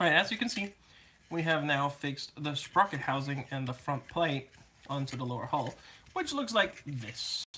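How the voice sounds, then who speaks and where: Noticeable background noise accompanies talk delivered at a moderate pace. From Germany. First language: German. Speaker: scale model builder. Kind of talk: live build-along stream chat. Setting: live stream with camera. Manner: casual, joking.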